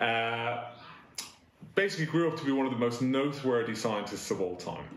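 Light background noise and audible room echo behind a man talking. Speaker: school head teacher. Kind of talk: assembly address. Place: office. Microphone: camera far.

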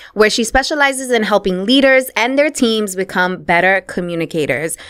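A woman with a New York accent, fairly high-pitched, animated in tone and lively in intonation, against a quiet background. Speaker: podcast host. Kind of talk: interview; scripted intro. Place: studio. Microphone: studio mic.

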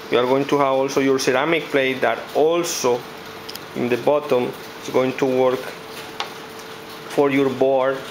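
A man's monotone, flat delivery at a fairly slow pace, over noticeable background noise. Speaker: presenter. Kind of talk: product demo commentary. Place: office. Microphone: phone near.

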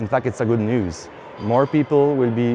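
With a French accent, a man speaks at a moderate pace and with fairly even intonation, the sound dry with no echo but with noticeable background noise. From Quebec, Canada. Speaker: brewery founder. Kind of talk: interview, casual talk about own business. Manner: halting, many fillers. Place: hall. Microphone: lapel.

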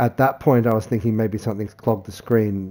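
A man's fairly low, dark and mellow voice with monotone, flat intonation. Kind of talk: explanatory repair vlog. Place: home room.

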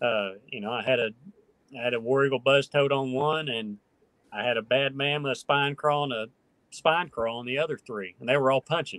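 A man with a rural Oklahoma accent at a fairly quick pace, ordinary pitch variation, dry sound with no echo and a quiet background. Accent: Oklahoma rural Southern-Midwestern. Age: 30s. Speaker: professional bass angler; podcast guest. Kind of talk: casual interview chat. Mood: relaxed, storytelling. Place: home room. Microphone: video call.

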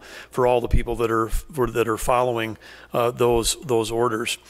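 Moderately paced male speech over a quiet background. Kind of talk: press conference statement. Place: hall. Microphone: podium.

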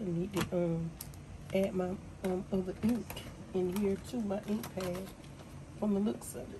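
Over noticeable background noise, a woman speaks in an upbeat tone at a fairly slow pace with long, frequent pauses. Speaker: small business owner, handmade crafts seller. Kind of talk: casual talk to camera. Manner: chatty, upbeat. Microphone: phone near.

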